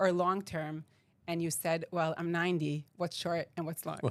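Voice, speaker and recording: A woman speaks in an Israeli accent at a fairly low pitch. The recording is very clean, with a silent background. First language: Hebrew. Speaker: podcast host. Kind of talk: casual interview.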